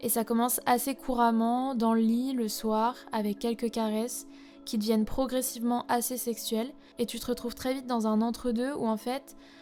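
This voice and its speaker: A woman's fairly high voice, flat and monotone, at a moderate pace over background music. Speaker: podcast host. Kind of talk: podcast narration.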